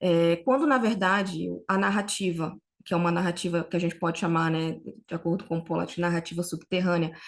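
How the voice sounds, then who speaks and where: A woman with a Brazilian accent speaks at a fairly low pitch with ordinary pitch variation over a quiet background. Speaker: researcher. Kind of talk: academic conference talk. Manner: slow; halting.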